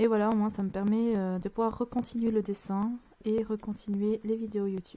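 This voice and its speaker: Soft-spoken and fairly high-pitched, a woman talks at a fairly slow pace in a dark, mellow tone. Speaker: gaming youtuber. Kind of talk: let's play commentary. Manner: hesitant. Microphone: mic kept far from mouth, volume not set.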